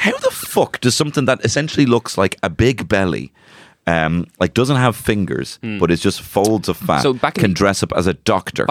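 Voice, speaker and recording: A man with a Dublin accent, fairly low pitch, vocal fry and very wide pitch swings, at a moderate pace with very even loudness, in a dry, close sound with no echo. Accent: Dublin, Irish. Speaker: podcast co-host. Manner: casual, joking, profane.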